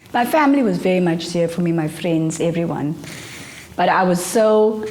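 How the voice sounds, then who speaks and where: A woman with a fairly low pitch and ordinary pitch variation speaks at a fairly slow pace, with audible room echo and noticeable background noise. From South Africa, Port Elizabeth. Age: 40s. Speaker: filmmaker. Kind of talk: interview testimony.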